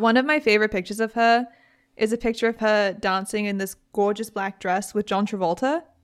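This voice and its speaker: Her voice fairly high, a woman with a British accent speaks with fairly even intonation in a very clean recording against a silent background. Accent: British, described by her as weird. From Britain. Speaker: podcast host. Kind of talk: casual storytelling, true crime podcast. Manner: casual, chatty.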